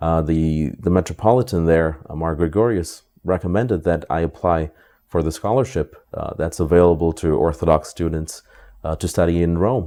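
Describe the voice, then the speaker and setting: Very deep and low in pitch, a man speaks with a dark, mellow tone. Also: ordinary pitch variation, moderate pace, quiet background. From US, New York / Detroit area. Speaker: priest. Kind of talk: interview. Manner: halting, many fillers.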